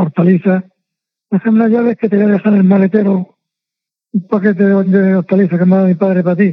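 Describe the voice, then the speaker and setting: A man talks in a high voice with monotone, flat intonation. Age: 80s+. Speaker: former football team masseur. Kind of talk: interview.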